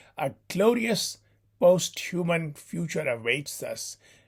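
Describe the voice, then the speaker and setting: The speech comes at a very slow pace on a very clean recording with a silent background. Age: 60s. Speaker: professor. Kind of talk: lecture.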